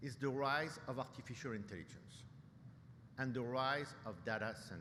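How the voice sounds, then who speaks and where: Audible room echo around a man's fairly quick speech. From France, Paris. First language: French. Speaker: nuclear industry executive, keynote speaker. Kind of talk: keynote speech. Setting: conference stage with audience. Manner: hesitant, many fillers and repetitions.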